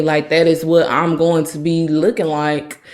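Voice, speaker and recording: A woman talks at a moderate pace. Hers is an unremarkable speaking voice. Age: 30s. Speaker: podcast host. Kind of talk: personal testimony.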